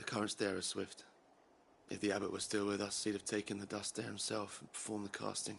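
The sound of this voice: Putting on a character voice, a man talks at a fairly quick pace, fairly low and monotone in flat intonation, with vocal fry and a slightly husky edge.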